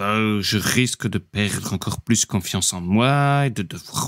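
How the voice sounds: Using a put-on character voice, a man speaks at a fairly low pitch. His pace is moderate and his pitch varies in an ordinary way.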